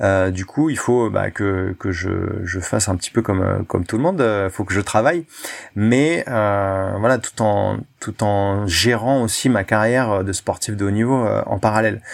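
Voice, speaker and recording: Speaking at a fairly slow pace, a man with a fairly low pitch uses ordinary pitch variation on a very clean recording with a silent background. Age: 30s. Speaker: freediver and former firefighter. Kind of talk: interview. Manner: hesitant, many fillers.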